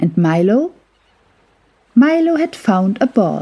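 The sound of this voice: Speaking slowly, a woman of medium pitch uses a dark, mellow tone and big pitch swings.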